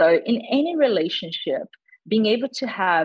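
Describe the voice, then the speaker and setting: Moderate-paced speech from a woman. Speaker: psychology lecturer and researcher. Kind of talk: expert interview. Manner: measured, hesitant with fillers.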